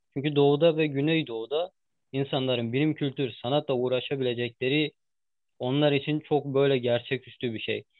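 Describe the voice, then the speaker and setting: A man speaks in a fairly high pitch at a moderate pace. His intonation stays fairly even. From eastern Turkey (Ağrı). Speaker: interviewer. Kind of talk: interview. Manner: halting with many fillers.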